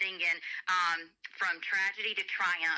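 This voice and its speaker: In a Southern accent, a woman with a medium-pitched, bright, sharp voice speaks at a moderate pace with monotone, flat intonation. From US South, Alabama. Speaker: gospel singer and kindergarten teacher. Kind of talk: radio interview.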